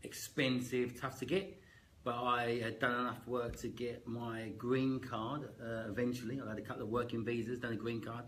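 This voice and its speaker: In a strong Cockney accent, a man speaks at a medium pitch and a moderate pace. His intonation is fairly even, and room echo is audible. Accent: strong East London Cockney. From East London, Canning Town. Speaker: actor and real estate agent. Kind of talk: casual interview.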